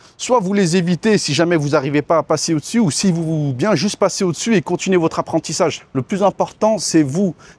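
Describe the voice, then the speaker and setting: A man with a high-pitched voice is recorded with a dry, close sound and no echo. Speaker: expat vlogger. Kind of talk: casual vlog monologue. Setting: outdoors by a swimming pool. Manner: casual, hesitant with fillers.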